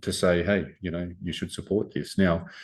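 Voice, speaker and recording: A man speaks in a very deep, low voice with monotone, flat intonation. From Australia. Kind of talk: interview answer. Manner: quietly spoken.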